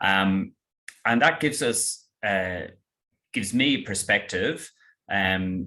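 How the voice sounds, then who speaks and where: A man speaks with an Irish accent at a very deep, low pitch. His tone is bright and sharp. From Ireland. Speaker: estate planning lawyer. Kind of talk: webinar presentation.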